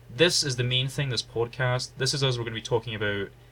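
A booming male voice with vocal fry and a bright, sharp tone. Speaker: podcast co-host.

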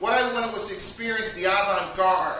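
At a fairly quick pace, a man speaks in an animated yet deadpan tone over noticeable background noise. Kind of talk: spoken-word comedic monologue. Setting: stage with audience, live poetry cafe. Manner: animated, deadpan comic delivery with absurd punchlines and rhetorical asides.

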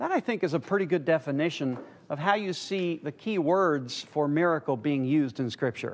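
The pace here is moderate, with lively intonation. It is a plain, everyday voice. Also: man, fairly high pitch for a man. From United States. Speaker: church teacher. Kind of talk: lecture.

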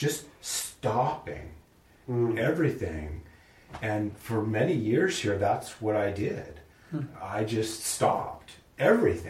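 A man of medium pitch speaks very slowly with a somewhat breathy voice. His intonation is lively. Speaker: discussion participant. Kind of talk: casual group discussion.

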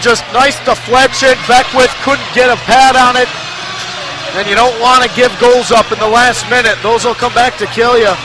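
A man speaks in a raised, projected voice at an extremely high pitch, with monotone, flat intonation at a moderate pace over noticeable background noise. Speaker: color commentator. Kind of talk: live hockey color commentary. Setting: broadcast booth at ice arena.

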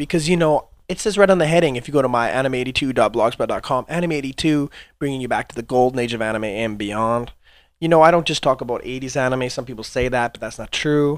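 In a very clean recording with a silent background, a man speaks fairly quickly at a medium pitch with ordinary pitch variation. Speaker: podcast host. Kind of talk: casual solo podcast monologue. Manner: loose free-flowing delivery.

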